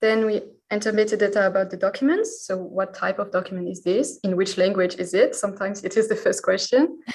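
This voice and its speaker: At a very fast pace with hardly any pauses, a woman with a French accent talks at medium pitch with ordinary pitch variation. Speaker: historical researcher. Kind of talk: podcast interview.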